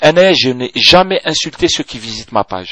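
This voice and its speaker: A man speaks with a strong Algerian accent at a fairly slow pace. The sound is dry and close, with no echo. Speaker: video blogger. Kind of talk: video blog reply. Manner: hesitant, many fillers and code-switching.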